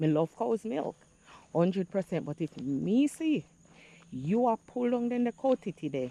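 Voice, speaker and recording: A woman with a Jamaican accent speaks at a moderate pace and medium pitch with very wide pitch swings and a dark, mellow tone, sounding dry and close with no echo. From Jamaica, St. Andrew. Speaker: vlogger. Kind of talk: casual vlog monologue, Jamaican patois.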